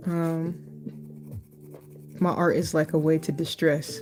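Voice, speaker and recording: A soft-spoken woman talks with a very deep, low pitch. Music plays in the background. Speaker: art YouTuber. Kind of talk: casual drawing vlog talk. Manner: quiet, soft-spoken.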